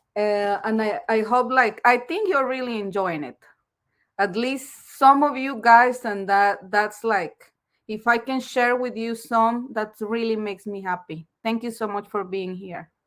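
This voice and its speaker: A woman with a strong non-native accent speaks fairly slowly at a fairly high pitch with ordinary pitch variation. Her loudness swings widely, and the recording is very clean with a silent background. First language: Spanish. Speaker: live streamer reading a self-help book. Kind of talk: reading aloud with commentary. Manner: halting.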